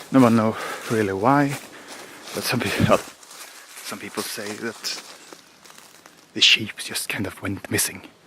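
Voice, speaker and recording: Amid noticeable background noise, a man with a Swedish accent speaks at a fairly slow pace with fairly even intonation, big swings in loudness and long, frequent pauses. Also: medium pitch for a man. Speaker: outdoor vlogger. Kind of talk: walking vlog narration.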